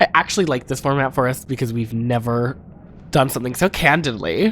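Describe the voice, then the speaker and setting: Mumbling at a fairly quick pace, the speaker has an animated tone. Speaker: drag performer and podcast co-host. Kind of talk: casual chat.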